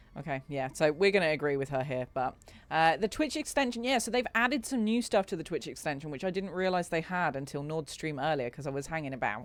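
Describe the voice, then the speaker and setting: Words rush out at a very fast pace with hardly any pauses, on a very clean recording with a silent background. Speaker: video game streamer. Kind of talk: live gameplay stream commentary.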